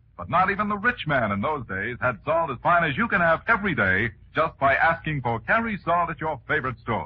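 The voice swings very widely in pitch and has vocal fry, moving at a fairly quick pace with hardly any pauses. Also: man, fairly high pitch for a man. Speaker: radio announcer. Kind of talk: old-time radio sponsor announcement, salesman's pitch. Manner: formal, crisp, smoothly persuasive announcer delivery.

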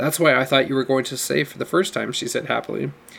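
The intonation stays fairly even in an unforced reading voice.

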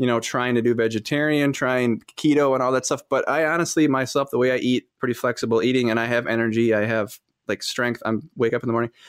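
A man's normal speaking voice at medium pitch, with an American accent, a fairly quick pace and fairly even intonation, on a very clean recording with a silent background. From Wisconsin, Fond du Lac. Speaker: entrepreneur, host's husband. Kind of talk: casual chat.

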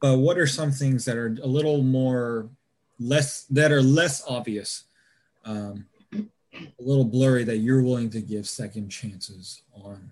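A man at a medium pitch talks at a fairly slow pace, with ordinary pitch variation and big swings in loudness. It is a plain, everyday voice. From US South, Georgia. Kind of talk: casual chat.

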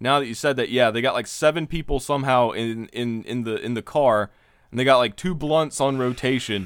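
In a very clean recording with a silent background, a man talks at a fairly quick pace in a plain, everyday voice, his medium pitch showing ordinary pitch variation. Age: 20s. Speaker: podcast co-host. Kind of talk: casual chat.

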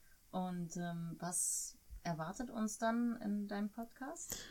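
At a very slow pace, a woman with a medium pitch speaks in a dark, mellow, somewhat breathy tone with lively intonation. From Germany. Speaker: host's wife acting as interviewer. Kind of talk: casual interview. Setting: sitting next to the host.

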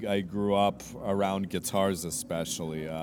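In a room with audible echo, a man with a very deep, low voice speaks at a fairly slow pace with ordinary pitch variation. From Canada, Vancouver. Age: 30s. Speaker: street musician. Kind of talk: interview. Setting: outdoors on the street. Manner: halting, many repeated words.

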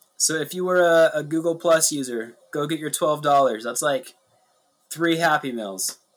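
This man's fairly high voice moves at a moderate pace with ordinary pitch variation while music plays behind him. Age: 20s. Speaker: podcast co-host. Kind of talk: casual chat.

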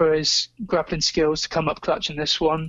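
A man speaks. He has a southern English accent. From England, Somerset (Taunton). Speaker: MMA writer and betting analyst. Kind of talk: casual chat.

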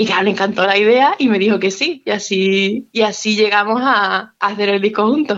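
An ordinary speaking voice from a woman, fairly high in pitch, with ordinary pitch variation at a moderate pace. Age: 20s. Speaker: musician. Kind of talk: interview.

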